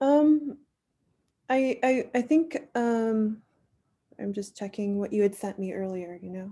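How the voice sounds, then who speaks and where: A woman with an American accent speaks at a very slow pace, with long, frequent pauses and big swings in loudness. Her fairly high, somewhat breathy voice has a dark, mellow tone and ordinary pitch variation. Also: very clean recording, silent background. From Queens, New York. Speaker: bagel shop owner. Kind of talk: interview answer.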